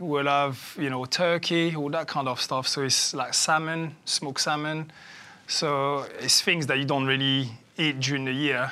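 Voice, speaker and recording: On a very clean recording with a silent background, a man speaks at a moderate pace in a fairly high, bright, sharp voice with monotone, flat intonation. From France (Paris), raised mostly in London. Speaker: former professional footballer. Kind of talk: casual chat.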